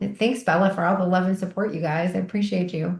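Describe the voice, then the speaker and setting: This is a woman speaking. Her voice is somewhat breathy. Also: quiet background. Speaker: microdosing coach. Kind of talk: online group meetup talk. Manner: fast; chatty.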